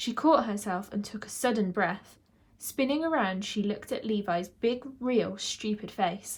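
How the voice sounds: What comes across is a natural reading voice.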